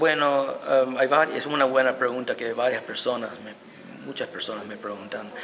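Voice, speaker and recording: With an American accent and a medium pitch, a man talks at a moderate pace with ordinary pitch variation and big swings in loudness over noticeable background noise. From United States. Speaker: historian and violinist. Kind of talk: interview.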